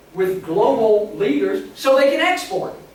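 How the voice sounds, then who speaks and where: Noticeable background noise runs through the clip. The delivery keeps a moderate pace. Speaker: economics lecturer and author. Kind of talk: lecture.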